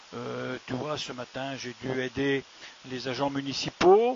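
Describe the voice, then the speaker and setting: Fairly even intonation from a man at medium pitch and a fairly slow pace, with noticeable background noise. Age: 60s. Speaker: village mayor, retired gendarme. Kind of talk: interview answering children's questions. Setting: town hall. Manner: hesitant, many fillers.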